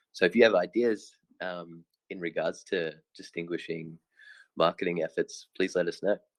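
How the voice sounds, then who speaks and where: A man talks at a moderate pace with an Australian accent. The sound is dry and close, with no echo. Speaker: crypto project team member. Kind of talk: online Q&A session.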